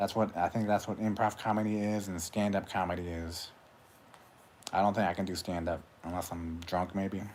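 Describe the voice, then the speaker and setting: The man mumbles in a very deep, low pitch. His intonation is monotone and flat. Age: 40s. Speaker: YouTuber, livestreamer. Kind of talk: casual livestream monologue. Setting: solo livestream. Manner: mumbling with long pauses.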